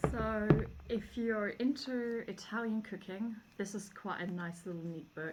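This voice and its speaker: In a German accent, a woman at medium pitch with ordinary pitch variation speaks at a fairly slow pace over noticeable background noise. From Germany. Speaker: homesteading vlogger. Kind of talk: casual book review. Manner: casual, many fillers.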